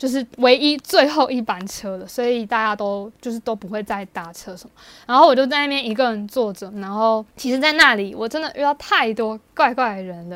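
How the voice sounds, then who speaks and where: On a very clean recording with a silent background, a woman with a Taiwanese accent talks at a fairly quick pace, fairly high in pitch, with hardly any pauses. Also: ordinary pitch variation. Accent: Taiwanese Mandarin. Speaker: podcast co-host. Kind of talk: casual chat.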